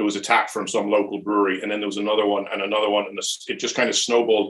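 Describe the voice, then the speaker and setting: A man with a Louth accent talks with a fairly low pitch. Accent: Drogheda Irish. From Ireland, Drogheda (County Louth). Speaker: brewery owner. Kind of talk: casual interview. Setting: online video chat.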